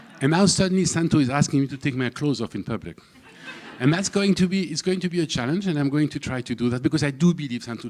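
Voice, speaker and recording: A man talks with a French accent. His pace is very fast. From southern France, Camargue. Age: 60s. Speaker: speaker at a public event. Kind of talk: personal talk to an audience. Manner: halting, many fillers and repetitions.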